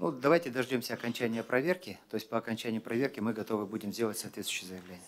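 With hardly any pauses, a man talks very fast using ordinary pitch variation. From Kazakhstan. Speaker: government minister. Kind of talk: press briefing answers. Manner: formal. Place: hall. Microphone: podium.

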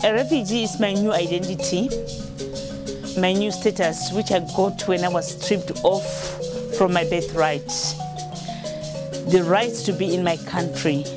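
Clear music plays in the background as a woman speaks with long, frequent pauses. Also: moderate pace. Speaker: refugee; mother. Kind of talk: poetry reading. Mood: solemn, earnest. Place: street.

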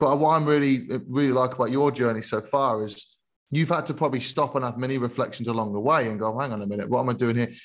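Very fast pace, fairly even intonation, and a quiet background. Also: man. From England. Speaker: podcast co-host, teacher. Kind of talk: interview. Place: home room. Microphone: studio mic.

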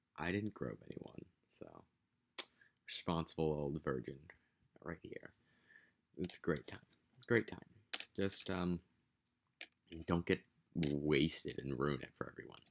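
Over noticeable background noise, a man with an American accent talks at a fairly slow pace in a very deep, low voice with vocal fry and long, frequent pauses. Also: ordinary pitch variation, big swings in loudness. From United States. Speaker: vlogger. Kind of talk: casual vlog monologue. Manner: casual, rambling, profane. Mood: amused, joking. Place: home room. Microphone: webcam.

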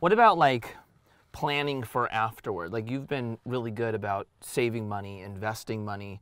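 Over a quiet background, a man talks at a moderate pace with ordinary pitch variation and a dry sound with no echo. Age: 40s. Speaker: pro skateboarder turned golf channel host. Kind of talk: casual chat during a golf round. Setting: outdoors on a golf course. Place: open country.

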